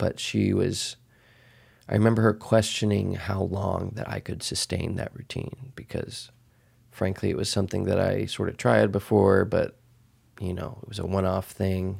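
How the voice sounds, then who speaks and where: On a very clean recording with a silent background, a man speaks at a fairly low pitch with vocal fry. His pitch varies in an ordinary way, and his pace is fairly slow. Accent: American. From Texas, US. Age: 30s. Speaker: podcast host. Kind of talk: solo podcast monologue. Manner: casual with frequent fillers.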